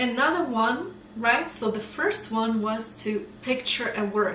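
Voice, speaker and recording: Speaking at a fairly slow pace with a Russian accent, a woman shows ordinary pitch variation amid audible room echo and noticeable background noise. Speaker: English teacher. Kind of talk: tutorial. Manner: casual, conversational.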